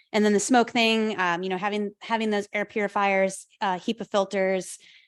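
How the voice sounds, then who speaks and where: A woman talks at a fairly quick pace. Her pitch sits in the medium range. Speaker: wildland firefighter and podcast host. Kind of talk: public talk with Q&A. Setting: talk with live audience, recorded via Zoom. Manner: fast.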